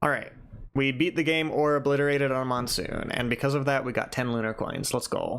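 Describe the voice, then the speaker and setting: Speech comes at a fairly quick pace amid noticeable background noise. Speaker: streamer. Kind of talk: live gameplay stream chat. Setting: live stream.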